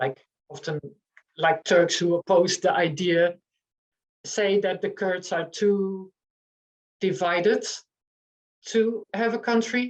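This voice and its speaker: A woman with a Dutch accent speaks at a very slow pace with long, frequent pauses, her medium pitch showing ordinary pitch variation. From eastern Netherlands, near German border. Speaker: author and journalist. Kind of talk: online panel discussion. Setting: online meeting. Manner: halting, many fillers.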